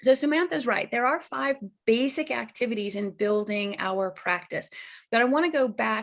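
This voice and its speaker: Using a normal speaking voice, a woman with a fairly high pitch and ordinary pitch variation speaks at a moderate pace. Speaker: marketing consultant for mediators. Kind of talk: webinar presentation.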